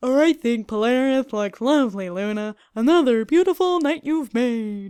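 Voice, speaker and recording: A fairly high-pitched, put-on character voice speaks at a moderate pace. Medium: read story. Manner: warm, teasing.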